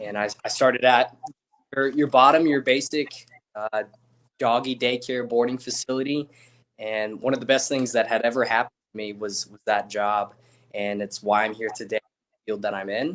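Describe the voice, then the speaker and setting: Big swings in loudness mark a man's medium-pitched speech at a moderate pace. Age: 20s. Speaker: dog trainer. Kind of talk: interview.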